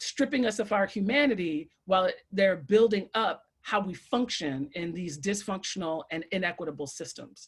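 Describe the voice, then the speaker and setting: Somewhat breathy and animated, a woman talks with lively intonation and hardly any pauses. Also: medium pitch for a woman, moderate pace. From Brooklyn, New York. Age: 40s. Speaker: educator. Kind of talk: panel talk.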